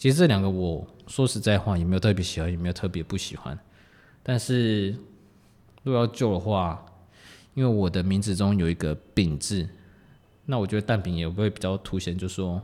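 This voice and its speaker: A fairly low-pitched man with a dark, mellow tone, big swings in loudness and long, frequent pauses, in a very clean recording with a silent background. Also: ordinary pitch variation, fairly quick pace. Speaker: podcast host. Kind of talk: casual solo talk.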